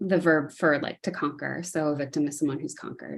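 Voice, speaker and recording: A woman with an American accent speaks at a very deep, low pitch, with vocal fry. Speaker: poet. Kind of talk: poetry reading. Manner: hesitant with fillers between poems.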